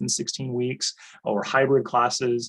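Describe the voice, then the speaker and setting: A man is speaking. His pitch is medium. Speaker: college administrator. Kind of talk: online presentation. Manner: fast.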